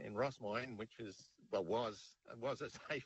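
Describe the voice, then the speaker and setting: Speaking at a moderate pace, a man talks with an Australian accent. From Western Australia. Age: 60s. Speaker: caller. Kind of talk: casual chat.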